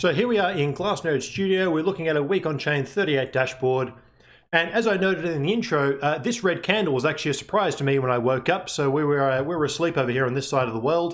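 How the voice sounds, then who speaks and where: A man with an Australian accent, very fast pace, fairly high pitch, ordinary pitch variation and very even loudness. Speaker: crypto market analyst. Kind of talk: presentation. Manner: casual.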